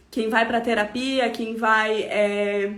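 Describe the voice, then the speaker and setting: A woman with a fairly high pitch talks at a very slow pace with fairly even intonation. Noticeable background noise and audible room echo fill the recording. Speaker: holistic therapist. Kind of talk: live stream talk. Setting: online live stream.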